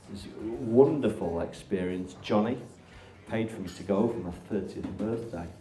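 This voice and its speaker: Big swings in loudness from a man at a moderate pace, with audible room echo and noticeable background noise. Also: fairly low pitch for a man, ordinary pitch variation. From northern England, Barnsley. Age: 40s. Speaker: interviewer, therapist. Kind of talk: live interview with audience.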